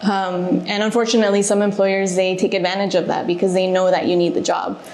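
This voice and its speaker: With an American accent and a medium pitch, a woman talks in a monotone, flat intonation amid audible room echo and noticeable background noise. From Alaska, US (Juneau). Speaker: reservations manager. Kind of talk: podcast interview.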